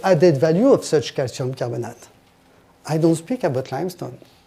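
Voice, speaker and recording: Lively intonation marks this man's fairly high-pitched voice, which has a dark, mellow tone. He speaks with a French accent. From France. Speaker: industry expert presenter. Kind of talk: technical presentation. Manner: halting.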